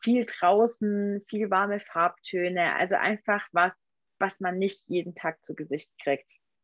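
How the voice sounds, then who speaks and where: A woman with a medium-pitched voice speaks at a very slow pace in a dry, close sound with no echo. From Swabian Alb, southern Germany. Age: 20s. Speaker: photographer. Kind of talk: interview.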